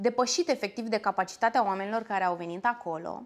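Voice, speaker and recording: A woman is speaking. Her pitch moves in an ordinary way. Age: 30s. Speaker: actress and singer; actress. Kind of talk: interview. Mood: lively, animated storytelling. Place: cafe. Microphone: lapel.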